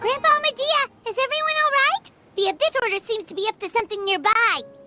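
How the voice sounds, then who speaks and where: Over music in the background, a squeaky put-on character voice chatters at an extremely high pitch and a very fast pace. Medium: video game. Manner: chatty, animated.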